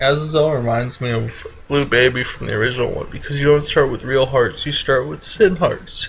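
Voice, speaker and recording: Noticeable background noise accompanies a man at a fairly high pitch who talks at a fairly quick pace with hardly any pauses and fairly even intonation. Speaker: gaming commentator. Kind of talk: let's play commentary. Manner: quieter than usual.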